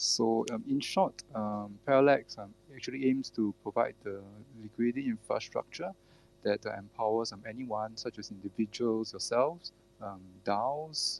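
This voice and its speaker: The man talks at a moderate pace and medium pitch with ordinary pitch variation, in a dry, close sound with no echo. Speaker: crypto project team member. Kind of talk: Twitter Spaces AMA interview. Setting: online audio space. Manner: halting, many filler words.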